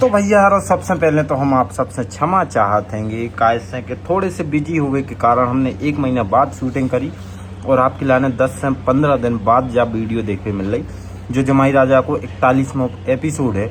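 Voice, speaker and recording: A man with a Bundeli accent, medium in pitch, with lively intonation and noticeable background noise. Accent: Bundeli-accented Hindi. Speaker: comedy channel creator. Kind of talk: channel outro and promotion.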